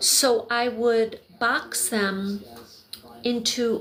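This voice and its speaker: A woman's fairly high voice with fairly even intonation against noticeable background noise. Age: 60s. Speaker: crafter and video creator. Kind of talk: casual livestream chat while crocheting. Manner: meandering, self-correcting.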